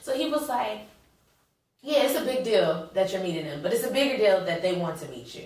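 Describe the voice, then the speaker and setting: With an American accent, a woman of medium pitch talks at a fairly quick pace, her pitch swinging very widely and her loudness in big swings, while audible room echo surrounds her. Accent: Southern Atlanta accent, sometimes heavy. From Atlanta, US South. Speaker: actress. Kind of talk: interview.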